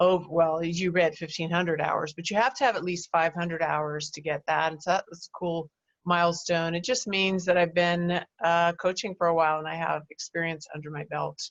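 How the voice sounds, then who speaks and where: This is a plain, everyday voice with fairly even intonation. Its loudness swings widely. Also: woman, fairly low pitch for a woman, moderate pace. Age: 60s. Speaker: life coach. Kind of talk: interview.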